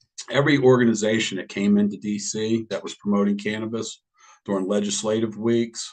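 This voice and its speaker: Fairly quick speech from a man, fairly low in pitch, with monotone, flat intonation. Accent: American. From Washington DC. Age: 60s. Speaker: cannabis business owner. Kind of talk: public hearing testimony.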